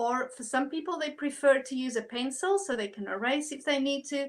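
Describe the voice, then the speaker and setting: A woman's high-pitched voice moves fairly quickly, its pitch varying in an ordinary way. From South Africa. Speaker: art instructor. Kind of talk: tutorial. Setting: online livestream. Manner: animated.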